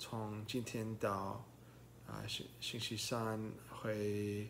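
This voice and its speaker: A man at a very slow pace, with light background noise. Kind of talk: casual vlog chat. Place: home room. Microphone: phone near.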